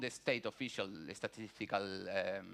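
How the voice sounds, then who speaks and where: A man with a Spanish accent speaks in a bright, sharp tone. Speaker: conference panelist, researcher. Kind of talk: conference presentation. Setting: conference auditorium. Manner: halting, many fillers and restarts.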